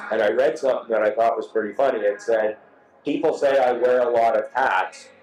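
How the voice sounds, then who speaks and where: Against noticeable background noise, a man talks at a fairly quick pace with very even loudness. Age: 60s. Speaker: motorcycle show host. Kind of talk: casual interview.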